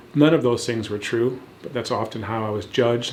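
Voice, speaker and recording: A man speaks at a medium pitch with fairly even intonation. The room echo is audible. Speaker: founder of a stuttering program. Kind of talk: testimony. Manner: fluent, measured.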